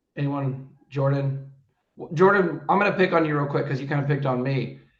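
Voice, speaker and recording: Audible room echo carries a man's fairly high voice. He talks at a fairly quick pace. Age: 30s. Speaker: business coach. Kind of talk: group coaching call presentation. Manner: casual, energetic.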